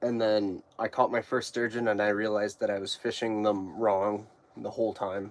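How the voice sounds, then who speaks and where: Speaking at a moderate pace with an Alberta accent, a man keeps a fairly low pitch and a monotone, flat intonation. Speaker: fishing YouTuber. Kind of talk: casual live stream chat. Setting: ice fishing shack.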